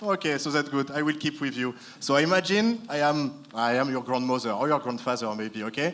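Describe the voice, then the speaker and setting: With a French accent, a man talks at a fairly quick pace in a fairly high pitch with lively intonation. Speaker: panel moderator. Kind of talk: panel discussion. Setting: conference stage with audience.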